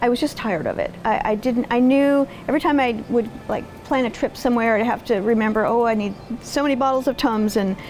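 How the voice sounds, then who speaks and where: Against noticeable background noise, a woman speaks at a fairly quick pace and fairly high pitch with ordinary pitch variation. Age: 60s. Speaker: patient, retired veterinary technician. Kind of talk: testimony.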